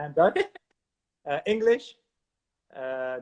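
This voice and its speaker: Lively intonation from a man at a very slow pace. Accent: Limburg. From Netherlands, Maastricht. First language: Maastricht dialect. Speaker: musician. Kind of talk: casual chat. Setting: video call. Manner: halting.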